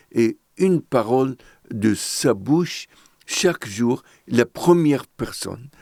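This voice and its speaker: A man's medium-pitched voice, dark and mellow, with ordinary pitch variation and a very slow pace, in a dry, close sound with no echo. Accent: Arabic. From Lebanon, Beirut. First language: Arabic (speaking French). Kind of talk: testimony.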